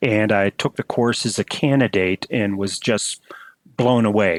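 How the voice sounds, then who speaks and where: Moderate pace from a man, a normal speaking voice at a fairly low pitch, in a dry, close sound with no echo. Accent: American. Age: 60s. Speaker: emergency and flight physician. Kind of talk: interview.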